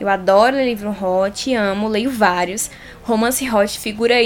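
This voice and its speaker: Speaking at a fairly slow pace, a woman uses a fairly high pitch and ordinary pitch variation. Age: 20s. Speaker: podcast host. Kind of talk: solo podcast monologue. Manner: animated.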